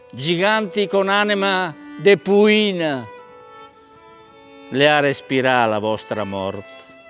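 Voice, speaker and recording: With music in the background, a man speaks at a very slow pace with very wide pitch swings. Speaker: stage actor. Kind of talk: poetry reading.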